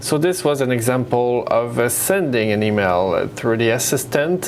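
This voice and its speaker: Recorded with audible room echo and noticeable background noise, a man talks at a fairly slow pace in a medium pitch with ordinary pitch variation. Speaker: software presenter. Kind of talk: tutorial. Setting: web conference. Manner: hesitant, many fillers.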